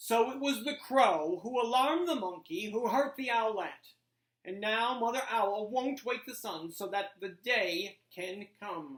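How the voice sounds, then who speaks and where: In a put-on character voice, a female-sounding speaker goes at a fairly slow pace with a fairly high pitch. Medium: read story. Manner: grave, deliberate.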